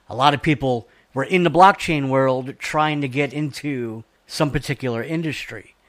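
Recorded very cleanly against a silent background, a man with an American accent speaks in a normal speaking voice at a fairly high pitch with ordinary pitch variation. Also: moderate pace. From South Georgia, US. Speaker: radio show co-host. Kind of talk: casual interview.

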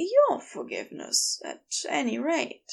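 In a put-on character voice, a woman speaks slowly at a high pitch, with very wide pitch swings and vocal fry.

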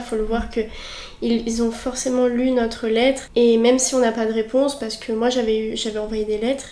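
Over noticeable background noise, a woman talks at a fairly quick pace with a fairly high pitch and monotone, flat intonation. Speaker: student association vice-president. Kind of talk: casual interview. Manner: hesitant, many fillers.

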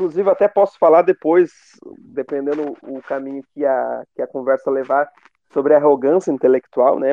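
With an ordinary speaking voice, a man talks at a fairly high pitch and ordinary pitch variation. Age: 20s. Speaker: history teacher. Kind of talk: interview.

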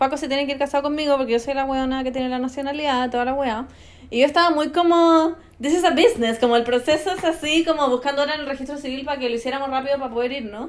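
Talking at a very fast pace, a woman with a Chilean accent has a high pitch and ordinary pitch variation. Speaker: influencer. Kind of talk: casual chat.

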